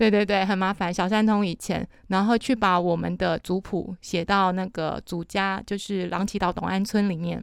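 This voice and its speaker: A woman at a medium pitch and moderate pace, monotone and flat in intonation, in a very clean recording with a silent background. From Matsu Islands, Taiwan. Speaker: café owner and local culture worker. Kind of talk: casual chat.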